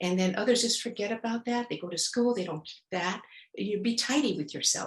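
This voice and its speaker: The voice is somewhat breathy. It carries a Spanish accent. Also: woman. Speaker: etiquette expert. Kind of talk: podcast interview. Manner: halting, many fillers.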